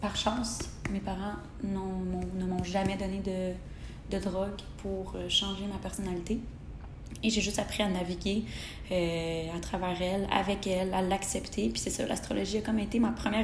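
A woman speaks at a fairly slow pace. The recording carries audible room echo and noticeable background noise. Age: 20s. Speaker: podcast host, human design enthusiast. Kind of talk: casual monologue.

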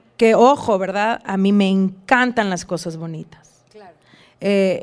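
A woman with lively intonation at a fairly slow pace. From northern Mexico border, Reynosa. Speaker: wellness influencer. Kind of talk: casual interview chat. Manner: halting with many fillers.

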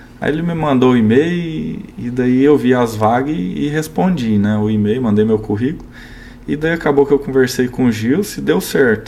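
Lively intonation at a moderate pace over noticeable background noise. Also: man, medium pitch for a man. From Araporã, Minas Gerais (raised from age 8). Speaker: agronomist and seed company representative. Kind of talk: casual interview chat. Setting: studio.

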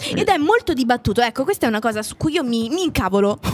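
Her voice is high for a woman and animated in tone. Her pitch swings very widely, and background noise is noticeable. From Italy. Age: young. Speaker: voice actress, singer and actress. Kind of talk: casual chat.

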